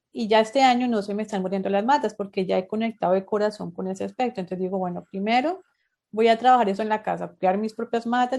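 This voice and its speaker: Over a quiet background, a woman talks very fast at a fairly high pitch with fairly even intonation. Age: 30s. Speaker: podcast host. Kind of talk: interview.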